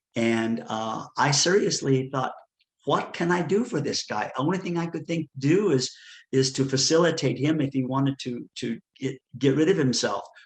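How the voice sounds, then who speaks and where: At a moderate pace, a man talks in a somewhat breathy, fairly high voice whose pitch varies in an ordinary way. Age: 60s. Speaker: retreat founder and advocate. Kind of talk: interview testimony. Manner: halting.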